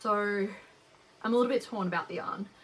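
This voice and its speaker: A woman's medium-pitched voice with lively intonation and an Australian accent. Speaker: knitting podcaster. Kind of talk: casual chat. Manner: casual, with frequent fillers.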